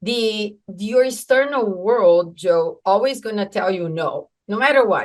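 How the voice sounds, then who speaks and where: A woman speaks in a Brazilian Portuguese accent. Her pitch is fairly high. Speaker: entrepreneur. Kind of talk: podcast interview. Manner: halting, many fillers.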